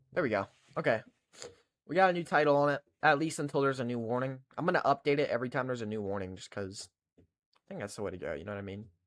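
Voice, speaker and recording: The speech runs at a very fast pace yet breaks into long, frequent pauses, with big swings in loudness. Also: man, medium pitch for a man. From Kentucky. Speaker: weather livestreamer. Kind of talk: live weather coverage with chat. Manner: casual, chatty.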